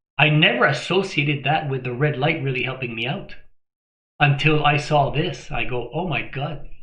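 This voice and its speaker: Audible room echo surrounds a man with a fairly high pitch. He keeps a moderate pace and fairly even intonation. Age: 60s. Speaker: health vlogger. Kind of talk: casual talk to camera.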